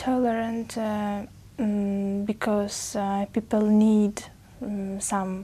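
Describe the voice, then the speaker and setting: A woman speaks very slowly at medium pitch in a dark, mellow tone. Her delivery is somewhat breathy and monotone, with flat intonation. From Uzbekistan. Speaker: language test candidate. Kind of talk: speaking exam interview. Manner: halting, many fillers.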